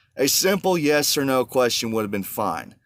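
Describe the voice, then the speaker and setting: In a very clean recording with a silent background, a man with a Southern US accent talks at a moderate pace in an animated tone with very wide pitch swings. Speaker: truck driver vlogger. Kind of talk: casual vlog monologue. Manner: animated, ranting.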